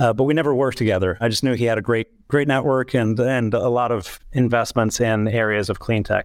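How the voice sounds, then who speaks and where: A man with an unremarkable speaking voice talks at a fairly quick pace, hardly pausing, at medium pitch with fairly even intonation. His loudness stays very even on a very clean recording with a silent background. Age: 50s. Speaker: tech company CEO. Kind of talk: interview.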